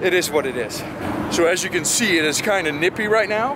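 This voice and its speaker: A man at a fairly quick pace, dry sound with no echo, and loud background noise. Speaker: car show vlogger. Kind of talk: casual vlog chat. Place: street. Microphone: phone near.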